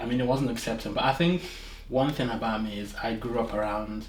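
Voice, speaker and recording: There is noticeable background noise as a man speaks at a moderate pace and medium pitch. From Aba, Nigeria. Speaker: criminology graduate, intern. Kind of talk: interview answer.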